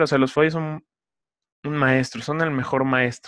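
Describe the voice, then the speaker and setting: A man's fairly high voice comes through over a quiet background. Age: 20s. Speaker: podcast host. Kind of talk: solo podcast monologue. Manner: casual, many filler words.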